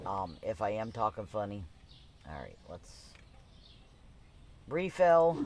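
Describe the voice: A man speaks slowly in a fairly low, slightly mellow voice with big pitch swings.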